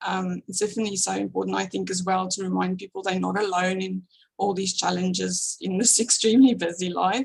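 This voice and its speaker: A woman with a strong South African accent at a fairly quick pace. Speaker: small business founder, graphic designer. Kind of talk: interview podcast.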